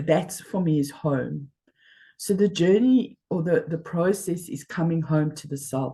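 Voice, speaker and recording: A woman's fairly low, somewhat breathy voice with a dark, mellow tone, ordinary pitch variation and a fairly slow pace. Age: 60s. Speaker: life coach. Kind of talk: interview.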